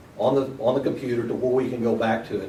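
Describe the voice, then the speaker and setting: A man at a medium pitch talks at a fairly quick pace, with noticeable background noise and audible room echo. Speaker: seminar presenter, shop owner. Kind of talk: seminar talk. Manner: fast.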